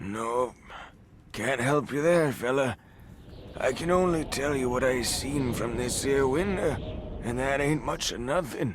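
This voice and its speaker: A man puts on a raspy character voice at a medium pitch, talking at a fairly slow pace with long, frequent pauses. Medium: video game. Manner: gruff, evasive.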